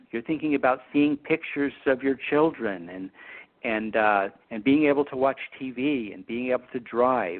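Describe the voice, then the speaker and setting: A man talks at medium pitch and a moderate pace in a plain, everyday voice, with ordinary pitch variation and big swings in loudness. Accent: American. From Utah. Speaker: optometrist. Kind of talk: educational interview.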